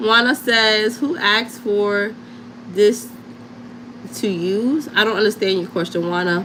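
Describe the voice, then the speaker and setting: A woman with a New York accent speaks fairly slowly and with lively intonation, against noticeable background noise. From Harlem, New York. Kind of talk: casual livestream chat and crafting tutorial. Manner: casual, chatty.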